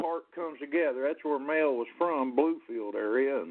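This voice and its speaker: A man with a Southern US accent speaks at a moderate pace with lively intonation. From US South, Jacksonville, Florida (born in Ohio). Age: 60s. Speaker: singer-songwriter. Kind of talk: radio interview. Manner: halting, many fillers and repeats.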